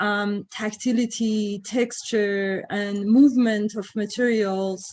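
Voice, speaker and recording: Noticeable background noise sits behind this recording. A woman speaks at a very slow pace. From Iran. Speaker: professor. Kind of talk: lecture. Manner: halting, many fillers.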